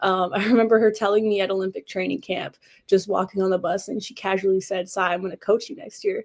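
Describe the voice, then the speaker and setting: This woman talks at a very fast pace. She has an American accent. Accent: slight Canadian, some say American-sounding. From Canada, Northern Ontario (Sudbury). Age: young. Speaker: college basketball player. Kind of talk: podcast interview.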